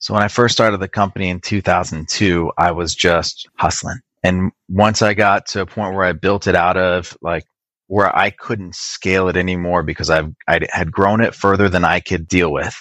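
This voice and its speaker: With a very deep, low pitch and a Californian accent, a man speaks at a moderate pace with fairly even intonation, in a dry, close sound with no echo against a quiet background. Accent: General American, Californian. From Wisconsin to age 8, then Southern California. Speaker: IT business owner. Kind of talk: interview conversation. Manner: hesitant, many repeated words and fillers.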